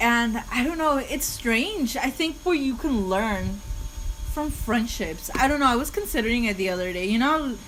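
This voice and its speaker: A woman with a non-native accent speaks at a high pitch and a moderate pace with lively intonation. Noticeable background noise and audible room echo surround her voice. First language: not English. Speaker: podcast co-host. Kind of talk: casual chat. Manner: halting.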